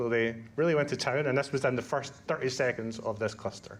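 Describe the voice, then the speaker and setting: Very fast male speech in a Scottish accent, with ordinary pitch variation and a quiet background. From Scotland. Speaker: conference speaker, Kubernetes educator. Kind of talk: conference talk. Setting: stage with audience. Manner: casual, lots of fillers.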